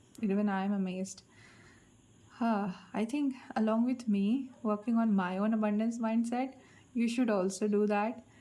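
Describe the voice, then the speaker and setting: A woman talks at a moderate pace and a fairly high pitch, with long, frequent pauses and very even loudness. Her tone is dark and mellow, somewhat breathy, with fairly even intonation. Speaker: tarot card reader. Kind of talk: collective tarot reading.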